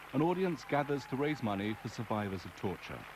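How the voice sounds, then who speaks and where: A man's fairly high voice at a moderate pace with lively intonation, crowd noise in the background. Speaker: journalist. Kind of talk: documentary narration.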